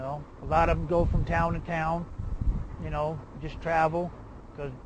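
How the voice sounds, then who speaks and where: With an American accent, the man's speech is heard with audible room echo. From New Orleans, Louisiana. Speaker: homeless man, hurricane evacuee. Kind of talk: documentary interview, personal testimony. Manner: casual, conversational.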